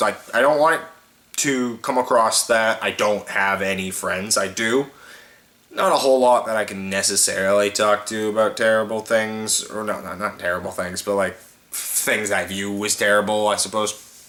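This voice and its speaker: Noticeable background noise sits behind a man with a fairly low pitch and ordinary pitch variation. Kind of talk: casual talk to camera.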